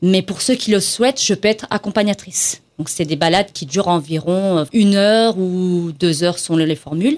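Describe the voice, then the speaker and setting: On a very clean recording with a silent background, a woman with a plain, everyday voice and a medium pitch speaks at a moderate pace with hardly any pauses and ordinary pitch variation. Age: 40s. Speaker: small business owner. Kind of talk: interview.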